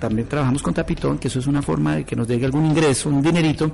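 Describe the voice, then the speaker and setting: A man talks at a very fast pace. Noticeable background noise runs underneath. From Colombia, Ibagué (Tolima). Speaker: shelter caretaker and amateur radio broadcaster. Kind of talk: interview testimony.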